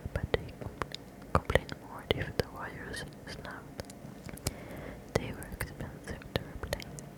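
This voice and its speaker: A woman whispers at a fairly slow pace, with long, frequent pauses and big swings in loudness. Noticeable background noise is present. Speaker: ASMR creator. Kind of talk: ASMR whispered book reading. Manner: whispered, soft, slow.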